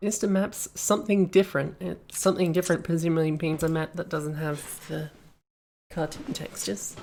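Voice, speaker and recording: A woman at a fairly low pitch, in an Australian accent, with ordinary pitch variation and a moderate pace. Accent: Australian, some say slight New Zealand tinge. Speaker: streamer reviewing game maps. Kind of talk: live stream commentary. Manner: casual, meandering.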